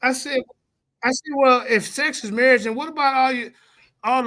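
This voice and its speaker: At a fairly quick pace, a raised, projected voice with a bright, sharp tone and a slight Southern US accent carries ordinary pitch variation. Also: man. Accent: slight Southern country. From US Midwest. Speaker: religious debater and live-stream host. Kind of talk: casual live-stream chat.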